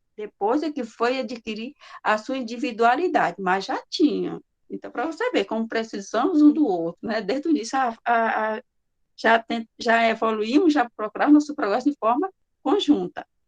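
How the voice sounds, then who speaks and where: A woman with a normal speaking voice talks at a fairly high pitch and moderate pace. Her intonation is lively, and the sound is dry and close with no echo. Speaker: spiritist course presenter. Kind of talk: lecture.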